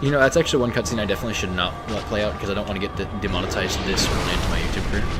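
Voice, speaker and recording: With music in the background and audible room echo, a man with a fairly low pitch and ordinary pitch variation talks at a very fast pace with hardly any pauses. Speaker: video game streamer. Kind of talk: casual gameplay stream chat. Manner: halting, repeats words.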